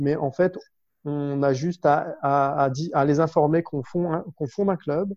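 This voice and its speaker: With fairly even intonation, a man speaks in an unremarkable speaking voice at a fairly high pitch. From northern France, Lille. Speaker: business development manager and public speaking coach. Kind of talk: interview.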